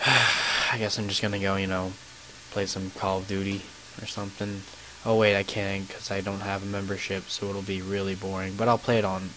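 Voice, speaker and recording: A fairly low-pitched man's voice at a fairly quick pace, amid noticeable background noise. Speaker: gaming YouTuber. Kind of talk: gameplay commentary with storytelling. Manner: monotone; halting, many fillers.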